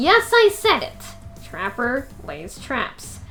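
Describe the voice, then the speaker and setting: A woman performs a put-on character voice while music plays clearly in the background. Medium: game stream. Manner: blunt, flat.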